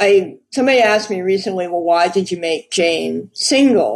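A woman's unremarkable speaking voice, fairly low in pitch, with ordinary pitch variation and a moderate pace. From New York City. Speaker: crime novelist. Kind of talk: interview.

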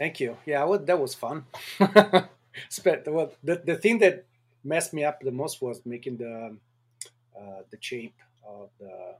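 Slow and lively in intonation, a man speaks at medium pitch with a slightly husky edge.

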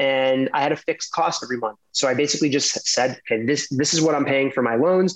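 Fairly high in pitch, a man speaks in an unremarkable speaking voice with an American accent. His pitch varies in an ordinary way. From New York City. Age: 30s. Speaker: former lawyer turned tech executive. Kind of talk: podcast interview.

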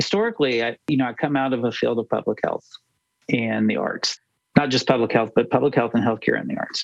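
Dry and close with no echo, a man with an American accent talks at a fairly quick pace. His intonation stays fairly even, with vocal fry. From United States. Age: 50s. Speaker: researcher and entrepreneur. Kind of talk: podcast interview.

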